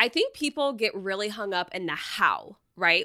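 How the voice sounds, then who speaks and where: A woman with an American accent talks at a moderate pace and medium pitch, with ordinary pitch variation. Her tone is bright and sharp, and the sound is dry and close with no echo. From Texas, Dallas suburbs. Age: 30s. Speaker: personal finance blogger. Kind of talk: podcast interview.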